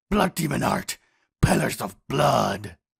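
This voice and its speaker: A man shouts in a put-on character voice, growling and raspy. He keeps to a fairly slow pace. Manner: growling, shouting.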